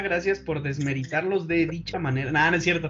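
A man speaks over noticeable background noise. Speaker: engineering student, podcast host. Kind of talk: casual chat.

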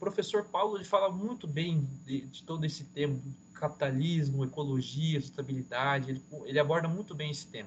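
Fairly high in pitch and somewhat breathy, a man speaks at a fairly quick pace. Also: ordinary pitch variation. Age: 20s. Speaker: engineering student and student union director. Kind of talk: educational explanation in interview. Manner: hesitant with fillers.

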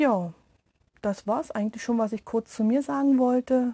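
A woman's voice comes through somewhat breathy, with a dark, mellow tone and ordinary pitch variation. The background is quiet. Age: 30s. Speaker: meditation podcaster, energy worker. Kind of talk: casual self-introduction monologue.

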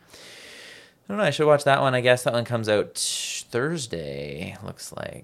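Speaking with a Canadian accent, the voice has very wide pitch swings and big swings in loudness. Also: man, medium pitch for a man, moderate pace. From Canada. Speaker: anime podcast co-host. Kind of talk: casual chat.

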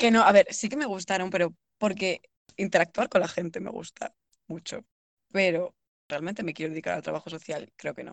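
A normal speaking voice from a woman, medium in pitch with ordinary pitch variation, at a moderate pace, with big swings in loudness and a dry, close sound with no echo. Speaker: podcast co-host, university student. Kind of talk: casual chat.

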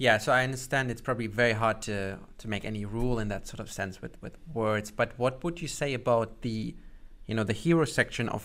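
A man talks at a fairly quick pace. He has a German accent. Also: very clean recording, silent background. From Germany. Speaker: podcast host, marketer. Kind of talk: podcast interview. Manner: hesitant with many fillers.

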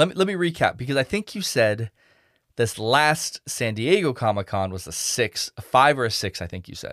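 Medium-pitched male voice at a moderate pace, with very wide pitch swings and big swings in loudness, in a dry, close sound with no echo. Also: very clean recording, silent background. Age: 40s. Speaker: podcast host. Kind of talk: casual chat.

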